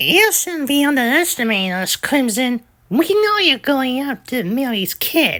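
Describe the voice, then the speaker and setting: This put-on character voice sits high in pitch and moves at a moderate pace. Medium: audio drama. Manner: brash, excitable.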